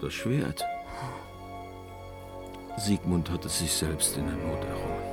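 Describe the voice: Putting on a character voice with vocal fry, a man speaks slowly at an extremely low pitch with ordinary pitch variation while music plays clearly behind him.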